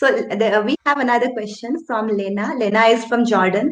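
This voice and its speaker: In an Indian accent, a woman speaks at a fairly high pitch. Her pace is moderate, with ordinary pitch variation. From India, Assam. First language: Assamese. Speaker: writer, channel host. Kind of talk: casual interview chat.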